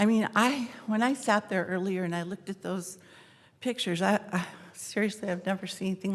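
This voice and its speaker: At a fairly quick pace, an ordinary speaking voice keeps to fairly even intonation. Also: woman. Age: 60s. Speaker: public commenter. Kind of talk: public comment. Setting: city council meeting.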